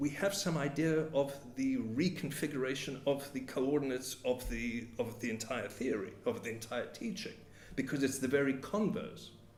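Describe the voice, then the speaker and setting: With audible room echo and noticeable background noise, a man speaks at a moderate pace in a medium pitch with ordinary pitch variation. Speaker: psychoanalyst lecturer. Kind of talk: lecture. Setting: meeting hall with audience. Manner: halting, many repetitions.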